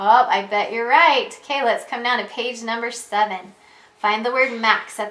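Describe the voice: Fairly even intonation over plain reading aloud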